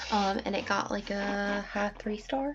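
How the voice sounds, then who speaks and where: Soft-spoken and somewhat breathy, the speaker keeps a moderate pace. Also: woman. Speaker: book vlogger. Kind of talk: casual vlog. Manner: hesitant, many fillers. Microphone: laptop camera.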